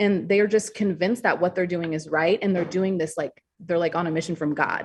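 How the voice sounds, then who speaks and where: Talking at a very fast pace, a woman with an American accent has a fairly low voice and ordinary pitch variation. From US Upper Peninsula, Michigan. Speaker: author. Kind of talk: podcast interview. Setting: call.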